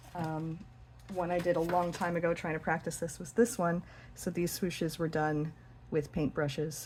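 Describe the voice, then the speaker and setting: Somewhat breathy and fairly low, a woman's voice moves at a moderate pace with fairly even intonation. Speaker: hobby dot painter. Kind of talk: casual tutorial talk to camera. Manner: hesitant, some stuttering.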